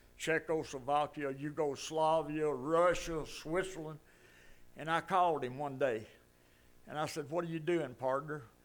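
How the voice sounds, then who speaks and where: Fairly high-pitched male voice with an Alabama accent. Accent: US Southern (Alabama). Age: 80s+. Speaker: resident speaking at public comment. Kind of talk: storytelling at public meeting.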